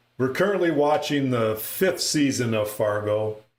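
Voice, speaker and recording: A man with an American accent, medium pitch and lively intonation, talking at a fairly slow pace amid audible room echo. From northern Minnesota. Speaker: pinball streamer. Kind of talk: live stream gameplay commentary. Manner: casual, animated.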